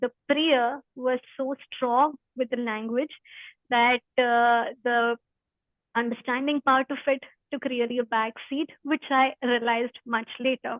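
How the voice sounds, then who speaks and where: Very slow, monotone, flat speech in an Indian accent. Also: woman, high pitch for a woman. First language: Hindi. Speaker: spiritual study presenter. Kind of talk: talk before a reading. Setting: video call. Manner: halting.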